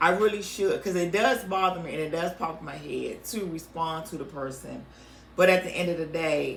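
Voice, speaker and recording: At a moderate pace, the voice shows ordinary pitch variation and big swings in loudness, with noticeable background noise and audible room echo. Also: woman, fairly low pitch for a woman. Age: 50s. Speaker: podcast co-host. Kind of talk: casual chat.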